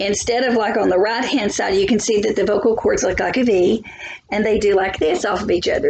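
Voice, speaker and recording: Recorded with audible room echo and noticeable background noise, a woman talks at a fairly high pitch with ordinary pitch variation. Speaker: biology teacher. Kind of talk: lecture.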